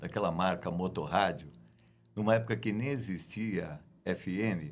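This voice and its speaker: A man with a plain, everyday voice, fairly low pitch and lively intonation at a fairly slow pace. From Brazil, Guarulhos (São Paulo). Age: 60s. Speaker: radio announcer and journalist. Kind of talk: interview.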